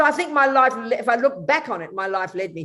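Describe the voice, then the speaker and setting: A woman with an Australian accent, very fast and with lively intonation. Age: 70s. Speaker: Buddhist nun. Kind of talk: interview.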